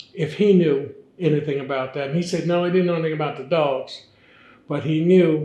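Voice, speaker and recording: Audible room echo surrounds a man's somewhat breathy, fairly high voice with a dark, mellow tone. He keeps a moderate pace and ordinary pitch variation. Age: 80s+. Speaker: fraternity elder. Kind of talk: interview.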